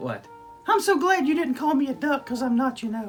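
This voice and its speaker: A man performs a cartoonish character voice at a fairly quick pace. Clear music plays in the background. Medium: puppet. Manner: excitable, silly, comedic.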